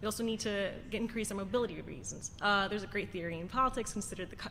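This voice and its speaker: A voice with an American accent and fairly even intonation comes through with audible room echo. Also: woman. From Queens, New York City. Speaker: city council candidate. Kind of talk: candidate forum answer. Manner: halting.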